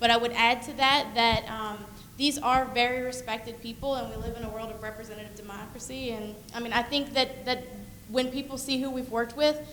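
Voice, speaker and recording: A woman's high-pitched, flat, monotone voice at a fairly quick pace, with big swings in loudness, noticeable background noise and audible room echo. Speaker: researcher presenting a project. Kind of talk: Q&A discussion at a presentation.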